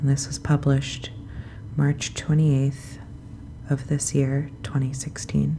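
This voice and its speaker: Against noticeable background noise, a woman speaks in a calm tone. Her pace is very slow, with long, frequent pauses. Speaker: sleep podcast host. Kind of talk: bedtime reading and casual talk. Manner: soft, calm; hesitant, many fillers.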